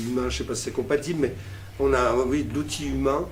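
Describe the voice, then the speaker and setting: Amid noticeable background noise and audible room echo, a man at medium pitch swings very widely in pitch. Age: 60s. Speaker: festival director. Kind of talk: interview. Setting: at a festival.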